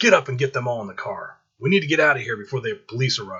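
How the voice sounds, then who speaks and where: A man uses a raspy, put-on character voice at medium pitch, racing along at a very fast pace with lively intonation. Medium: read story. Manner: confident, commanding.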